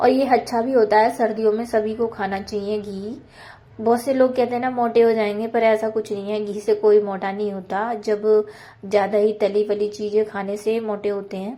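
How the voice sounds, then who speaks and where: A woman's fairly high, monotone voice with flat intonation at a fairly slow pace. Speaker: homemaker vlogger. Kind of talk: cooking and household vlog voiceover. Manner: casual, conversational.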